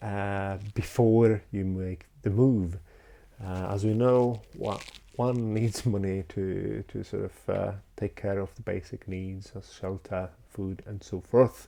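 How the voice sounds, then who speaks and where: Very slowly, a man speaks in a fairly low, dark, mellow voice with fairly even intonation. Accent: Polish. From Poland. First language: Polish. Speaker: YouTuber. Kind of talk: unscripted talking-head vlog. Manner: halting, many fillers.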